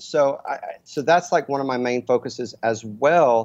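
A man speaks at a fairly high pitch with ordinary pitch variation. His pace is fairly slow. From Texas, Dallas. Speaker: brand consultant for musicians. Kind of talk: interview. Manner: animated.

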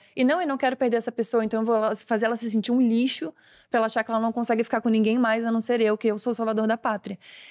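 Her fairly high voice moves at a very fast pace with fairly even intonation. The recording is very clean, dry and close, with no echo and a silent background. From southern Brazil, Florianópolis. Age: 20s. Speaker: comedian and content creator. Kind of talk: casual chat.

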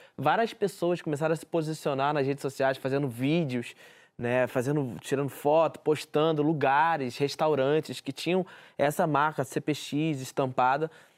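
At a moderate pace, a man talks in an ordinary speaking voice pitched fairly high. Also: fairly even intonation, very clean recording, silent background. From Rio de Janeiro favela. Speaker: community journalist. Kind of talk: interview.

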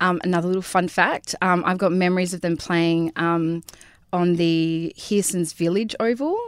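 A woman's fairly low voice with an Australian accent, at a moderate pace and with fairly even intonation. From Karratha, Western Australia. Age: 40s. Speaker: beautician and business owner. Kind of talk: casual interview chat. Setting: studio. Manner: hesitant, many ums and likes.

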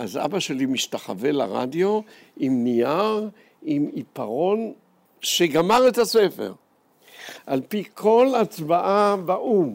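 A man with a high pitch, very wide pitch swings, a very slow pace and long, frequent pauses. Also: very clean recording, silent background. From Jerusalem, Israel. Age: old. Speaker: historian and educator. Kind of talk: personal testimony talk to students.

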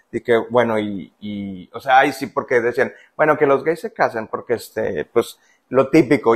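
A man at a medium pitch, with ordinary pitch variation and a moderate pace. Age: 40s. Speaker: stay-at-home father. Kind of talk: interview. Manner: halting.

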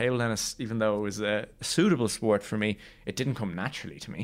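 At a fairly quick pace, a man with an Irish accent talks with ordinary pitch variation in a very clean recording with a silent background. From Ireland. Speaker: Paralympic wheelchair table tennis player. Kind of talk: interview.

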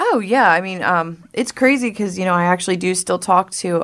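A woman with an American accent talks at a fairly quick pace in a normal speaking voice, her pitch fairly low. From South Jersey, US. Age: 20s. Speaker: person in addiction recovery. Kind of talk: interview, personal testimony. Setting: radio studio.

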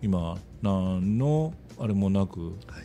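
This is a man's voice. It sits at a very deep, low pitch. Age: 60s. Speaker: small factory owner. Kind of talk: casual chat.

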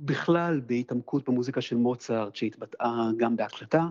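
A man talks in a normal speaking voice at medium pitch and a moderate pace, with ordinary pitch variation. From Israel, Jerusalem. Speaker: pianist and conductor. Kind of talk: interview.

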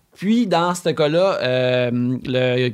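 In a Quebec accent, a man speaks with lively intonation. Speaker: video game writer. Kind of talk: casual chat. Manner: halting.

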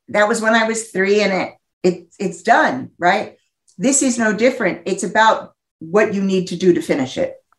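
With lively intonation, a woman with an unremarkable speaking voice talks at a medium pitch and a moderate pace. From US Northeast. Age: 50s. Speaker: psychologist and sex therapist. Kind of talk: interview.

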